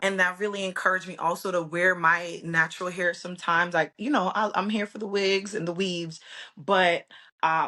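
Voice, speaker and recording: A loud woman with an American accent speaks at a fairly quick pace in a medium pitch, her tone bright and sharp and her intonation fairly even. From Brooklyn, New York. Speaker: hair stylist, entrepreneur. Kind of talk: interview.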